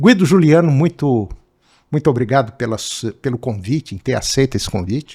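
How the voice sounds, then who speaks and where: A man speaks with lively intonation and a somewhat breathy quality. The recording is very clean, with a silent background. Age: 70s. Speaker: podcast host. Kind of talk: interview podcast.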